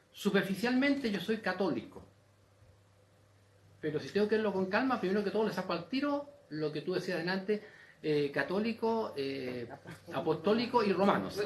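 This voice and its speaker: A man with a Chilean accent speaks at a moderate pace, his high-pitched voice carrying lively intonation. He leaves long, frequent pauses, and audible room echo surrounds him. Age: 70s. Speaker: audience member asking a question. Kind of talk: open forum comment. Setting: university auditorium panel with audience. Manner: animated.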